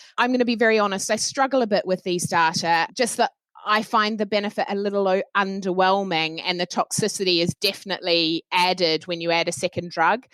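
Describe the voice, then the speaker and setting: The recording is dry and close with no echo, as a woman with a New Zealand accent speaks at a medium pitch. She talks at a fairly quick pace with hardly any pauses. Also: ordinary pitch variation. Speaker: oncologist. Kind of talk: panel discussion.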